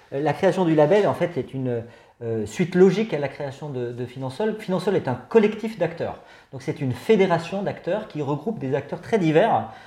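The voice has a dark, mellow tone, lively intonation and a moderate pace. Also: man, fairly high pitch for a man. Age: 50s. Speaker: head of a finance association. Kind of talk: interview. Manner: hesitant, many filler sounds.

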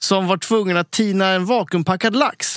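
A man with a high pitch speaks in a bright, sharp tone. The sound is dry and close with no echo, on a very clean recording with a silent background. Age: 40s. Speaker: chef, podcast co-host. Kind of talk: casual chat.

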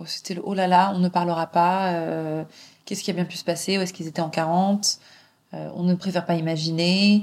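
A woman with a fairly low voice speaks at a moderate pace in a flat monotone while her loudness swings a lot. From Paris, France, partly raised in England. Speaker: journalist and author. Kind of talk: interview, personal storytelling.

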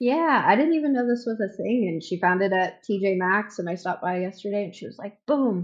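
In a plain, everyday voice, a woman speaks at medium pitch and a fairly quick pace with lively intonation and hardly any pauses. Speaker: medical office worker. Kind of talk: casual chat.

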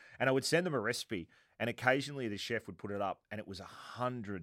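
A man with an Australian accent talks at a fairly quick pace with lively intonation, and the sound is dry and close with no echo. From Italian heritage, worked in Sydney, Australia. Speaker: podcast host. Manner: conversational, relaxed storyteller.

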